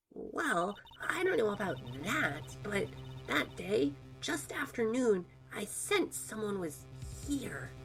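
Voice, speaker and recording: Clear music plays in the background as a woman uses a put-on character voice. She speaks at a fairly slow pace. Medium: fan dub. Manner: hesitant, soft-spoken.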